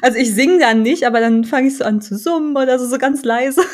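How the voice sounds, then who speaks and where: Her speech comes very fast. This woman's voice sits high, and its pitch varies an ordinary amount. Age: 20s. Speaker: podcast co-host, PR trainee. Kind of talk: casual chat.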